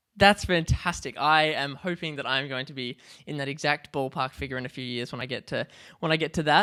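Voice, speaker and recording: In an Australian accent, a man talks at a fairly quick pace with a bright, sharp tone, recorded very cleanly against a silent background. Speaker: podcast host and drummer. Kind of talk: casual chat.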